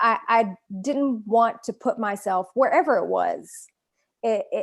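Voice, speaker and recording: A woman speaks with a strong Southern US accent against a quiet background. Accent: thick Southern US. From US South. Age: 40s. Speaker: author. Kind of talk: interview. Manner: halting.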